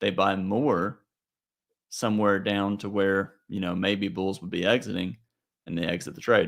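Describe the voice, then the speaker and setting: On a very clean recording with a silent background, a man with a normal speaking voice and fairly low pitch talks at a moderate pace with fairly even intonation but big swings in loudness. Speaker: trading educator. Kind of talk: market review tutorial.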